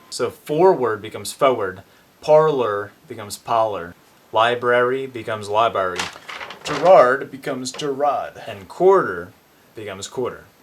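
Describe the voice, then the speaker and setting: Against noticeable background noise, a medium-pitched man speaks with lively intonation and big swings in loudness. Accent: American. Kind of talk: educational talk to camera.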